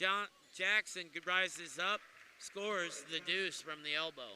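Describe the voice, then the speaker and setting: Projecting his voice, a man speaks at a fairly slow pace and a high pitch. His intonation stays monotone and flat. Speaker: play-by-play announcer. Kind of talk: live commentary; casual chat.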